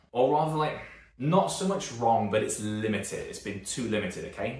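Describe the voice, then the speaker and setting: Amid audible room echo, a man talks at a moderate pace with very wide pitch swings. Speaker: strength and conditioning coach. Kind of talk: YouTube talk to camera. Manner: casual, rambling with fillers.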